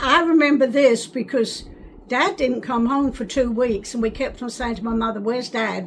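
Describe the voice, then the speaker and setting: A woman speaks at a high pitch. Noticeable background noise is present. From England, North London. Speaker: wartime childhood eyewitness. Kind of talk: oral history interview. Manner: halting.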